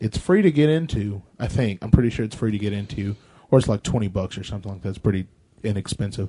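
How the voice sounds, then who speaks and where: Speaking at a very fast pace, a man with a dark, mellow, somewhat breathy tone shows ordinary pitch variation and big swings in loudness. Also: fairly low pitch for a man. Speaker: podcast co-host. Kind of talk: casual chat.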